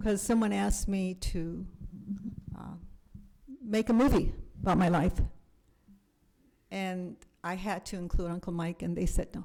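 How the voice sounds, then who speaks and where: Speaking at a moderate pace and medium pitch, a woman has a dark, mellow tone, fairly even intonation, long, frequent pauses and big swings in loudness. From US, raised in a survivors' community. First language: German and Yiddish. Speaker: Holocaust educator and speaker. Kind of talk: Q&A after a talk.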